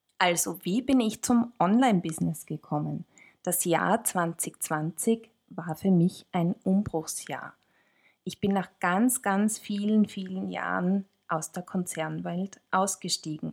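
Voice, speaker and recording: A medium-pitched woman at a very slow pace, in a very clean recording with a silent background. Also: ordinary pitch variation. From Austria, Tyrol. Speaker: podcast co-host, marketing consultant. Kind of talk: casual chat. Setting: studio, sitting next to co-host.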